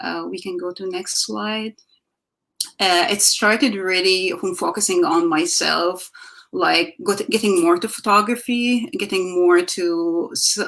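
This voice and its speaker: A woman with an Egyptian accent speaks at a fairly slow pace. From Egypt, Alexandria. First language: Arabic. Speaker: visual artist. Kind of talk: artist talk presenting slides. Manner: halting, many fillers.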